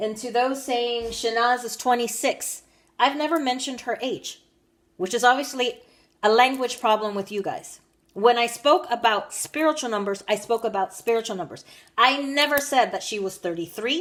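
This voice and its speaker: With an American accent, a woman talks at a moderate pace in a high pitch, using ordinary pitch variation. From United States. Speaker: tarot reader. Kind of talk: monologue to viewers, tarot reading. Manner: firm, scolding.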